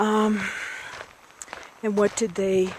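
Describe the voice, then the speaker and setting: A woman is talking. Background noise is noticeable throughout. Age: 60s. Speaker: video blogger. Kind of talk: casual vlog monologue. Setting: outdoors.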